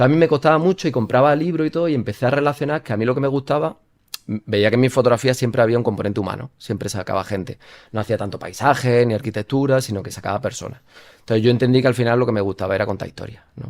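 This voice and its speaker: Words pour out of a man at a very fast pace. His pitch variation is ordinary. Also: medium pitch for a man. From Spain, Jaén (Andalusia). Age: 30s. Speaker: photojournalist. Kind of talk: interview.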